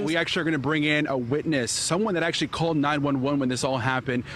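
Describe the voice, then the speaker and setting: A man with an American accent speaks very fast at a fairly high pitch, with ordinary pitch variation, very even loudness and noticeable background noise. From Dallas, Texas. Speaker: news anchor and reporter. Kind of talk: TV news field report.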